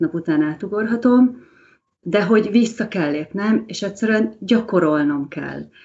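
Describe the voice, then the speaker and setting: With ordinary pitch variation and a fairly slow pace, a woman talks in a plain, everyday voice. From Hungary. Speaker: language mentor. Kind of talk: casual chat.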